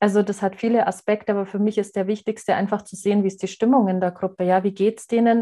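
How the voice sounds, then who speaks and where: Speaking very fast, a woman uses a medium pitch and a dark, mellow tone. Her intonation is monotone and flat, set against a quiet background. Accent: slight Bavarian. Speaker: adult education trainer. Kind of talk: interview.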